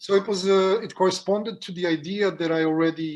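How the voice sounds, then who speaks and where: This voice carries a non-native accent. Its intonation is fairly even. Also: man. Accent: non-native, own accent when speaking. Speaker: jazz pianist. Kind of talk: interview. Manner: halting, many fillers and repetitions.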